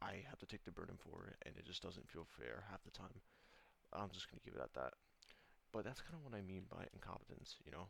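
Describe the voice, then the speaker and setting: Whispering and mumbling at a very fast pace, a man speaks with vocal fry. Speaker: gaming vlogger. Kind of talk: casual rant. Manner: fast, mumbling. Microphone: poor audio.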